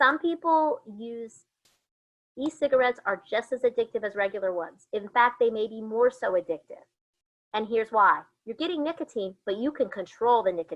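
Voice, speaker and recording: Her intonation is lively. This woman speaks at a fairly high pitch. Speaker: college student affairs administrator giving a presentation. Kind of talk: online presentation. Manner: fast.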